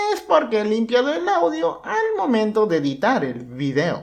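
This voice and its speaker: A man talks at a fairly slow pace. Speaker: youtuber interviewer. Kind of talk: interview narration.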